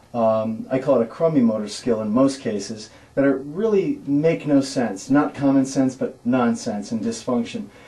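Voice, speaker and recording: Dark, mellow tone and lively intonation with hardly any pauses, in audible room echo. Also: man, medium pitch for a man. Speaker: personal trainer. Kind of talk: tutorial. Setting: gym. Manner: fast.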